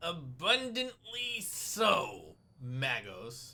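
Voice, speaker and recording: A man uses a put-on character voice, raised and projected, at a high pitch with very wide pitch swings. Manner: muttering through gritted teeth, tense.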